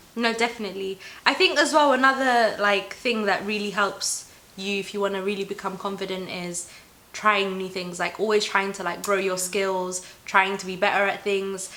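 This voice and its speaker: A woman at medium pitch and a moderate pace, with big swings in loudness, noticeable background noise and audible room echo. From Somali heritage. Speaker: YouTuber. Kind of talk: casual chat. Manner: animated.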